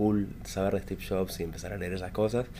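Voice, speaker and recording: A man with a fairly low-pitched voice speaks at a very fast pace. His intonation is monotone and flat. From Argentina, Luján, Buenos Aires province. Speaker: tech entrepreneur. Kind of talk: interview.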